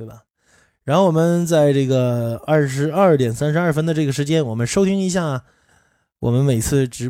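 A fairly high-pitched man's voice, dark and mellow, at a moderate pace with ordinary pitch variation, in a very clean recording with a silent background. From Northeast China. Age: 30s. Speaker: podcast host. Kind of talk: casual monologue. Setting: livestream room.

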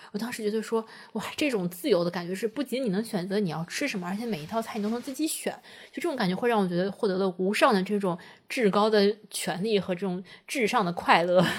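A woman talks very fast, her medium pitch showing ordinary pitch variation. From Taiyuan, Shanxi, China. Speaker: podcast co-host. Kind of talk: casual chat.

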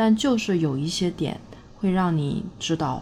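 A woman's dark, mellow, somewhat breathy voice moves at a moderate pace with ordinary pitch variation. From Northeast China. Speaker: vlogger. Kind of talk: casual monologue.

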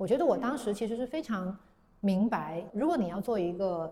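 A woman at a medium pitch speaks with lively intonation over noticeable background noise. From southern China, Guangzhou. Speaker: paper-cut artist. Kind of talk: interview conversation.

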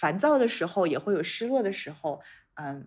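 A woman speaks with a dark, mellow tone and very wide pitch swings. The recording is very clean, with a silent background. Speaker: international development worker. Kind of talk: podcast interview. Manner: calm, gentle.

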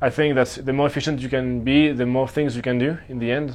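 With a slight French accent, the speaker goes at a fairly quick pace in a monotone, flat intonation. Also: man. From Switzerland. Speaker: traveler interviewed about his year. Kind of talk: interview answer. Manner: halting, many fillers.

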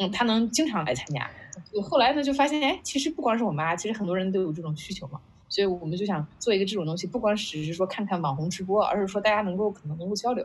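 At a very fast pace, a woman with a medium pitch and a somewhat breathy voice speaks with very wide pitch swings. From China, Qingdao. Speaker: startup founder, former product manager. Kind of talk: casual interview conversation. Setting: online video call event.

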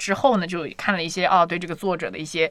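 A woman talks at a very fast pace with an animated tone and a fairly low pitch. Noticeable background noise runs underneath. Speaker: podcast host. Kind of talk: casual chat.

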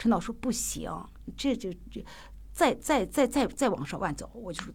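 A woman with a strong Shaanxi accent speaks at a high pitch. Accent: strong Shaanxi-accented Mandarin. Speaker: theatre director and actor. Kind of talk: casual interview chat.

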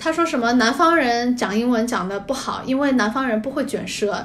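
With noticeable background noise and audible room echo, a woman talks at a fairly quick pace, her high pitch showing ordinary variation. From Hong Kong, then Jinan, Shandong. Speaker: guest. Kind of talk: casual chat.

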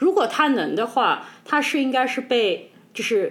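Her voice high in pitch, a woman speaks with very wide pitch swings. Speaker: podcast co-host. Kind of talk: casual chat.

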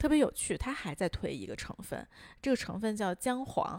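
A woman's moderately paced speech with very wide pitch swings. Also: very clean recording, silent background. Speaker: podcast co-host. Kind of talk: casual chat.

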